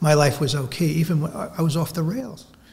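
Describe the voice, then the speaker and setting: This man's voice is somewhat breathy. He talks fairly quickly. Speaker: recovering alcoholic, sober over 20 years. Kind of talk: personal recovery testimony.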